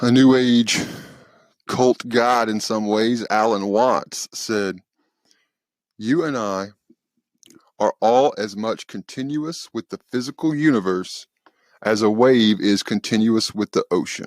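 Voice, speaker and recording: A man's medium-pitched voice in a Southern US accent, very slow with long, frequent pauses and ordinary pitch variation, in a very clean recording with a silent background and a dry, close sound with no echo. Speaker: podcast host. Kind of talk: spiritual talk podcast.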